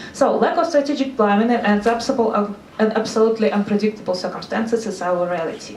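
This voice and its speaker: A woman with a Russian accent speaks at a very fast pace in a fairly high pitch with ordinary pitch variation, over noticeable background noise. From Russia, Saint Petersburg. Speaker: NGO consultant. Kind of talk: seminar talk. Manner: halting.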